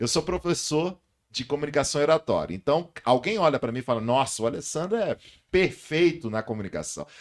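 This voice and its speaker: A man's fairly high voice with lively intonation, vocal fry and a fairly quick pace. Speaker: communication and public speaking teacher. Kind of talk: podcast interview. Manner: loud voice.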